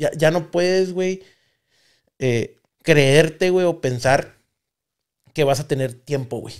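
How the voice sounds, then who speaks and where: Against a quiet background, a man speaks at a very slow pace. He leaves long, frequent pauses and uses ordinary pitch variation. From Mexico. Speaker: podcast host. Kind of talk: casual chat. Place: studio. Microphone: studio mic.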